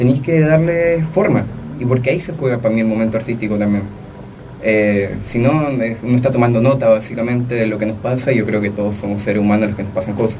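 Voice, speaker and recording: Very fast speech comes from a man at a medium pitch. Light background noise sits behind him. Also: ordinary pitch variation. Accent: Chilean. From Chile. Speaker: young poet; guest. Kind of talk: interview. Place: studio. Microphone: studio mic.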